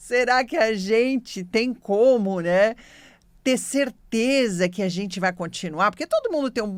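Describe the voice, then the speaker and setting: Recorded very cleanly against a silent background, a woman with a plain, everyday voice speaks fairly slowly with ordinary pitch variation. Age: 60s. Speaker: radio host, medium and naturopath. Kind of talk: radio talk, storytelling.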